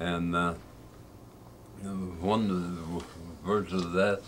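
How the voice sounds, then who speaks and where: In an Appalachian accent, a man speaks at a fairly slow pace with a very deep, low pitch. Room echo is audible around his voice. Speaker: old-time fiddler. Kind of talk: casual storytelling.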